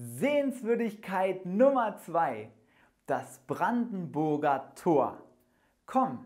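Against a quiet background, a man speaks at a very slow pace. His pitch swings very widely. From Germany. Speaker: German teacher. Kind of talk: language lesson. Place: studio. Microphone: lapel.

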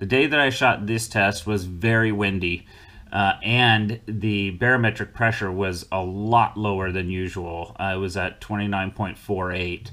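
The man's voice has a fairly low pitch and a bright, sharp tone. He talks at a very slow pace with fairly even intonation. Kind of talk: explanatory commentary. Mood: relaxed, occasional laughs. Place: home room.

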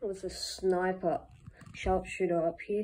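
This woman talks at a very slow pace. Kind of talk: casual talk to camera showing a toy build.

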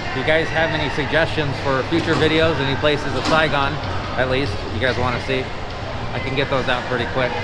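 A man talks fairly quickly while loud background noise fills the clip. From California. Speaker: travel vlogger. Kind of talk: vlog walking tour narration. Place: shop. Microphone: phone near.

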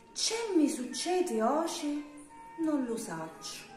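With a southern Italian accent, a high-pitched woman swings her pitch very widely, her voice carrying audible room echo over faint music in the background. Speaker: poetry reciter. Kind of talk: dialect poetry reading. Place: home room. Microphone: phone near.

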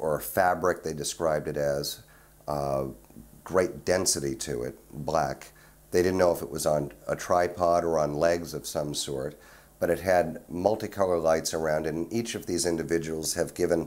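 Fairly even intonation carries speech that goes at a moderate pace. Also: man, very deep, low pitch for a man. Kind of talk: interview answer. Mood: earnest recounting.

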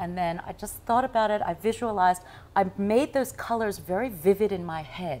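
With an American accent, a woman speaks at a fairly quick pace in a medium pitch with ordinary variation. Light background noise sits behind her. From US and Taiwan, international upbringing; US. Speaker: news anchor and author; news anchor. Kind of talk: tv interview. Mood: cheerful, animated. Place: home room. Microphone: lapel.

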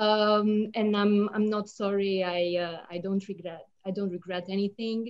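In a Romanian accent, a woman speaks in a flat monotone against a quiet background. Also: fairly slow pace. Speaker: poet. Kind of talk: panel discussion and poetry reading. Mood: warm, smiling. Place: home room. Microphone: video call.

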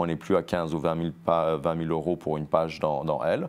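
Speaking at a moderate pace, a man has a very deep, low pitch. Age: 50s. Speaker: entrepreneur, sportswear brand co-founder; guest. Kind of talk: TV interview. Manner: frequent word repetitions and hesitations. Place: studio.

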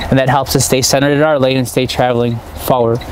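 A man speaks at a very fast pace in a flat monotone over light background noise. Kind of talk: equipment demonstration. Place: car.

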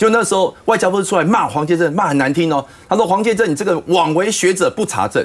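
Talking at a very fast pace, a man's voice carries vocal fry. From Taiwan. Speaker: politician, panel guest; politician, guest. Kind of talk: political talk show panel discussion. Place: studio. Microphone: lapel.

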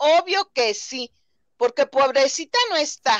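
A fairly slow pace against a quiet background, with a dry sound and no echo. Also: woman. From Mexico. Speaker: viewer joining live stream; livestream guest or host. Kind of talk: casual chat. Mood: opinionated, critical. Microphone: video call.

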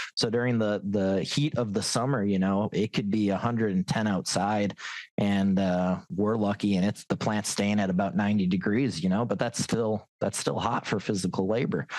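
Against a quiet background, a man with a fairly low pitch speaks at a moderate pace with fairly even intonation, very even loudness and hardly any pauses. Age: 30s. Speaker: auto worker. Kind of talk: panel discussion.

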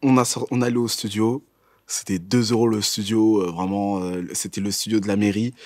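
In a quiet background with a dry sound and no echo, a man speaks at a moderate pace. His pitch is fairly low and his intonation fairly even. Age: 20s. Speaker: student; interviewee. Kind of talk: testimony. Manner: halting. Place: studio.

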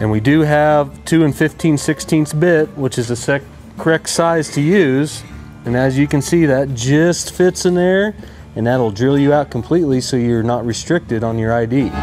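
A man speaks at a moderate pace with ordinary pitch variation while faint music plays behind him. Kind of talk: tutorial. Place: workshop. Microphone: lapel.

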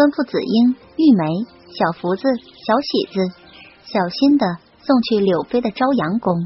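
With faint music in the background, a woman speaks at a moderate pace with lively intonation and a slightly husky edge.

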